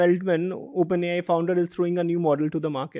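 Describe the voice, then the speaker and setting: In a dry, close sound with no echo, a man with an Indian accent and a high pitch speaks at a very fast pace. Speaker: interviewer, education institute leader. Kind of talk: interview conversation.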